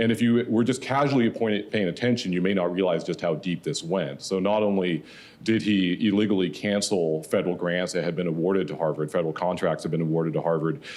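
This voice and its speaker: A man's very deep, low voice with ordinary pitch variation, a very fast pace and hardly any pauses. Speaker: professor. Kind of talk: panel talk.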